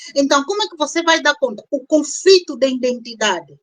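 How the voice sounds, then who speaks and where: Her intonation lively, a woman speaks with an Angolan accent. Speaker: doctor and panel guest on immigration grief. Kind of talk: live-stream panel discussion. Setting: online live stream.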